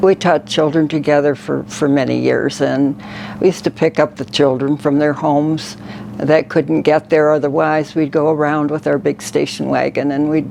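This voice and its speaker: Ordinary pitch variation and a moderate pace come through over noticeable background noise. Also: woman, very deep, low pitch for a woman. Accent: American. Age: 80s+. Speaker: makeover client, retired church secretary. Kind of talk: personal interview testimony. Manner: halting.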